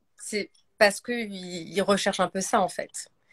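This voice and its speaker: Recorded very cleanly against a silent background, a woman speaks at a medium pitch with a dry, close sound and no echo. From France. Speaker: actress. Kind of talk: casual chat. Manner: hesitant, many fillers.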